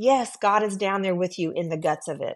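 With an American accent and lively intonation, a woman talks at a moderate pace in an unremarkable speaking voice. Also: quiet background. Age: 50s. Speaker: executive assistant. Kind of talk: testimony.

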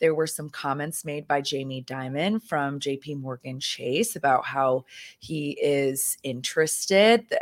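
Speaking in an American accent, a woman has a very deep, low pitch and an animated tone. She goes at a fairly slow pace with ordinary pitch variation. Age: 20s. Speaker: podcast co-host and company co-founder. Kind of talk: casual chat.

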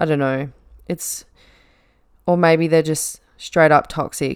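Delivered at a fairly slow pace, a woman's monotone, flat intonation carries an Australian accent. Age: 20s. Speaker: podcast host and nurse. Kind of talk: casual monologue.

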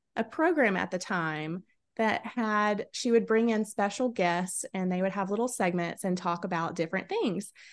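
The speaker has a Southern US accent and a moderate pace. The background is quiet. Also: woman. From South Carolina, US South. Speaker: podcast host. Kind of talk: casual chat. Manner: animated.

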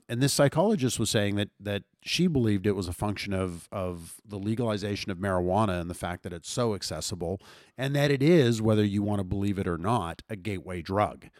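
A man's ordinary speaking voice, fairly low in pitch, fairly quick, with ordinary pitch variation and hardly any pauses. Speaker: podcast co-host. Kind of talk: casual chat.

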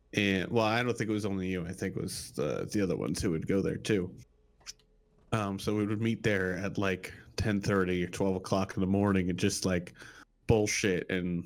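Here a man talks at a fairly quick pace in a normal speaking voice, fairly low in pitch, with fairly even intonation. The recording is very clean and the background silent. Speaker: guest. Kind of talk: casual chat.

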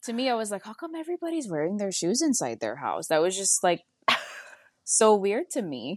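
With a Hawaiian accent, a woman talks at a fairly quick pace with very wide pitch swings, the sound dry and close with no echo. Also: medium pitch for a woman, quiet background. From Hawaii, Oahu. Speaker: medical assistant. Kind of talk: casual interview chat.

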